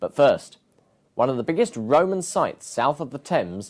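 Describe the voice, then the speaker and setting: Fairly quick and fairly high in pitch, a man's voice shows very wide pitch swings and vocal fry. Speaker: TV presenter. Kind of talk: TV programme opening.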